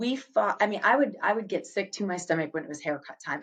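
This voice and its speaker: A woman speaks with an American accent. Her voice sits at a medium pitch. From Boston area, US Northeast. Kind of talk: interview conversation. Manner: fast.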